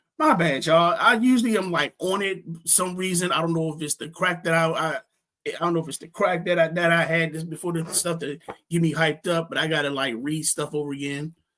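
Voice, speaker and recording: Fairly quick in pace, a man talks at a high pitch with ordinary pitch variation. His tone is bright and sharp. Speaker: fantasy football podcast host. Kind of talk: casual chat. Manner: fast; halting, many fillers.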